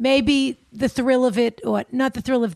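A woman with a Boston accent is heard in a dry, close sound with no echo. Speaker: advice podcast co-host. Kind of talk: casual chat. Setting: recording studio.

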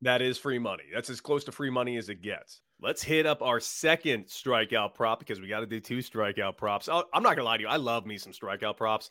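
A man with a medium pitch speaks at a fairly quick pace with hardly any pauses, his tone animated, bright and sharp. Pitch variation is ordinary, and the recording is very clean with a silent background. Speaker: sports betting podcast host. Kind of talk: radio dj patter, cocky sports-betting banter. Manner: animated, smartass, self-mocking showman.

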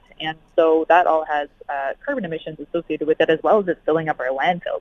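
A woman talks with fairly even intonation at a fairly low pitch. It is an ordinary speaking voice. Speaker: emergency physician and climate health researcher. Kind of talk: interview. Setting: phone call.

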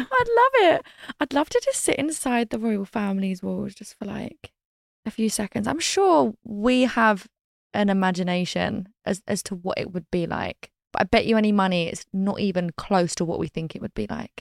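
Speech comes at a moderate pace with a British accent. The sound is dry and close, with no echo. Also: woman. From Britain. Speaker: reality TV personality. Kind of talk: casual interview chat.

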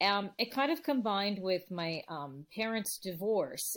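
On a very clean recording with a silent background, a woman talks with a Californian accent. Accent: General American, Californian. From Los Angeles, San Fernando Valley. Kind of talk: interview. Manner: halting, many fillers and restarts.

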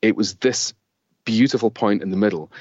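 Using a Scottish accent, a man of medium pitch speaks at a moderate pace with ordinary pitch variation. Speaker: author and creativity consultant. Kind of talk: interview.

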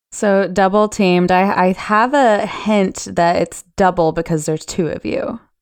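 An unremarkable speaking voice from a woman at medium pitch and a fairly slow pace, with ordinary pitch variation, on a very clean recording with a silent background. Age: 20s. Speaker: sex worker and podcaster. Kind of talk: casual chat.

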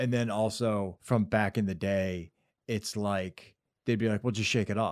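Recorded very cleanly against a silent background, a man with an ordinary speaking voice talks at a fairly slow pace, at fairly low pitch, with fairly even intonation and very even loudness. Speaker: podcast co-host. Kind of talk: casual chat.

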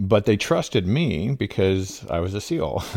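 A man speaks with vocal fry. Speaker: physician and former Navy SEAL. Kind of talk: interview.

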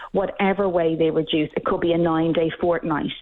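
Speaking in an Irish accent, a woman uses a passionate tone and a fairly low pitch. Her intonation is fairly even and her pace fairly quick. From Ireland. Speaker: workplace policy director. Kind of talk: radio interview. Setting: phone call.

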